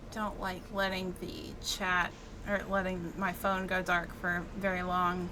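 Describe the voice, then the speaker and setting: With an American accent, a woman talks at a medium pitch in a monotone, flat delivery, and the room echo is audible. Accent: Southern US accent, sometimes faint. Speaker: gaming streamer. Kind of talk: live gameplay commentary. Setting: live stream. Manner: casual, chatty.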